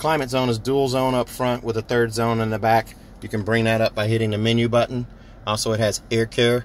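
Over light background noise, a man talks at a fairly quick pace in a monotone, flat intonation, and the sound is dry with no echo. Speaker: car salesperson. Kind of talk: product walkaround commentary. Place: car. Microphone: phone near.

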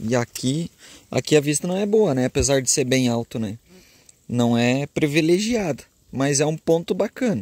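A man speaks at a moderate pace with lively intonation and a fairly high pitch. The recording is very clean with a silent background, and the sound is dry and close with no echo. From Caxias do Sul, Rio Grande do Sul, Brazil. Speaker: travel vlogger. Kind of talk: casual vlog narration. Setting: outdoors and in a car. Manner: animated.

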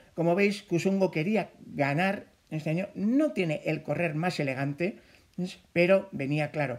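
Pitched high, a man talks at a fairly slow pace with ordinary pitch variation. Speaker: sports commentator. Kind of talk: sports commentary, race recap narration. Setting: voiceover over race footage.

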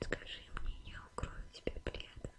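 A woman whispers at a very slow pace. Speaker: ASMR creator. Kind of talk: ASMR whisper roleplay. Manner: whispered, soft, slow. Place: home room.

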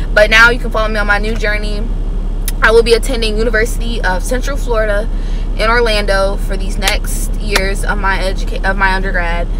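A woman talks at a fairly quick pace, the sound dry with no echo and noticeable background noise behind her. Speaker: vlogger. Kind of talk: casual vlog chat. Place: car. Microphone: phone near.

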